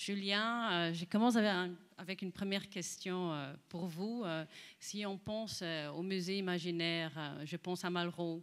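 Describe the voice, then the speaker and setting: A woman's fairly low-pitched voice, fairly slow and fairly even in intonation, on a very clean recording with a silent background. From Netherlands. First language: Dutch (speaking French). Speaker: panel moderator. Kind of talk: moderated panel discussion; reading prepared text. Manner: hesitant.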